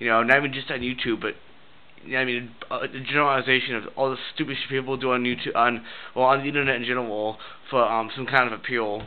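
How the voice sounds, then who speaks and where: With noticeable background noise behind him, a man speaks very fast at a medium pitch in a monotone, flat intonation. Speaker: vlogger. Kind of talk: casual rant to camera. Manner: rambling with many fillers, halting.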